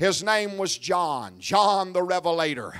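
A man speaks in a raised, projected voice that sits high for a man, bright and sharp in tone. His intonation stays monotone and flat against a quiet background. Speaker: evangelist preacher. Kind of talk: revival sermon building to a call-and-response climax. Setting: church service with congregation. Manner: fervent, rhythmic repetition with rising Pentecostal intensity; exhorting the crowd, prompting amens. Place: church. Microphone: handheld.

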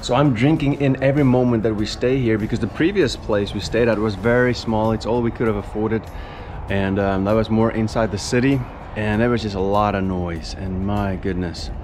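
With noticeable background noise behind him, a man talks at a fairly quick pace, his fairly low pitch showing ordinary pitch variation. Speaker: vlogger. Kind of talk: casual vlog chat. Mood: grateful, reflective. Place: garden. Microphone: phone near.

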